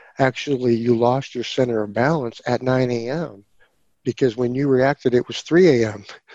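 A man uses a normal speaking voice at a medium pitch with fairly even intonation, and the sound is dry and close with no echo. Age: 40s. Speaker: podcast guest sharing psychedelic experiences. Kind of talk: casual interview, personal storytelling.

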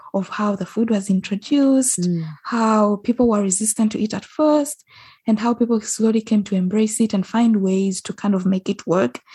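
At a moderate pace, a woman talks in a dark, mellow, somewhat breathy tone. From western Uganda. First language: Ugandan local language (western tribe). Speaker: food blogger and podcaster. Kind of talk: interview. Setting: remote call.

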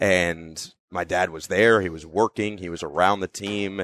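A man with an American accent, very deep and low in pitch, monotone and flat, at a moderate pace, in a dry, close sound with no echo against a quiet background. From northern New Jersey. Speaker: NBA play-by-play broadcaster. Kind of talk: interview. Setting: in person, Minnesota.

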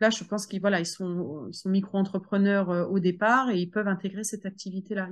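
A woman speaks at medium pitch with an unremarkable speaking voice. Her pace is fairly quick, her intonation fairly even, and the background quiet. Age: 40s. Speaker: home sales entrepreneur. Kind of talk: interview.

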